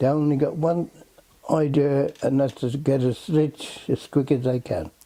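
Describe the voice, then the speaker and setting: A man speaks at a fairly slow pace. His intonation is flat and monotone. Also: fairly high pitch for a man. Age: 80s+. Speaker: retired fisherman. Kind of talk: casual chat. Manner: halting.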